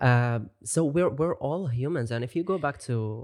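The speaker has an Arabic accent. The pace is fairly slow. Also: man. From Gulf region, Middle East. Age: 20s. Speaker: brand manager and music producer. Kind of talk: casual interview chat.

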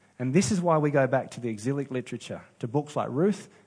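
A man with an Australian accent talks at a fairly quick pace, his fairly high pitch moving with lively intonation. His voice is somewhat breathy over a quiet background. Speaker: pastor. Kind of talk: sermon.

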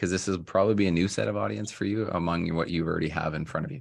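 A man's voice carries vocal fry against a quiet background. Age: 40s. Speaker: podcast host, real estate broker. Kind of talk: interview.

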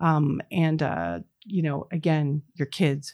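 A woman's very deep, low voice with vocal fry, dry and close with no echo on a very clean recording with a silent background. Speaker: company CEO and founder. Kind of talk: interview. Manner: halting, many fillers.

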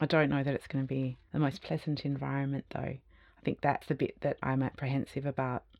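A woman with an Australian accent speaks fairly quickly. Her very deep, low voice has a monotone, flat intonation. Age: 50s. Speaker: design academic and futurist. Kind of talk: interview conversation.

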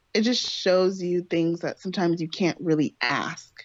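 The woman's accent is American. She keeps a moderate pace. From California. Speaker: host's girlfriend, first-time podcast guest. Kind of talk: casual chat. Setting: Skype call.

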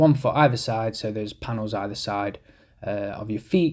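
Speaking at a moderate pace, a man talks with a British accent. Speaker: window cleaning podcaster. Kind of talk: ranting monologue, earnest safety-minded solo podcast rant. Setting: solo podcast recording. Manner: emphatic, insistent, argumentative; conversational, rambling, self-correcting.

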